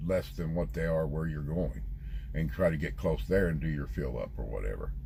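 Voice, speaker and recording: Audible room echo surrounds a man's voice. He speaks at a moderate pace with very wide pitch swings. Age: 50s. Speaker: truck driver vlogger; military veteran. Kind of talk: casual vlog monologue. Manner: halting.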